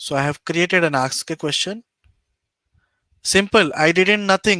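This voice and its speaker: With an Indian accent and a high pitch, a man speaks in a bright, sharp tone, the sound dry and close with no echo. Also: very clean recording, silent background. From East India. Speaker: data analytics YouTuber. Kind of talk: live-streamed tutorial. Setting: live stream screen share.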